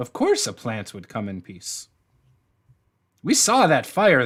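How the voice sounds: A man puts on a squeaky character voice at a medium pitch. He speaks at a fairly slow pace.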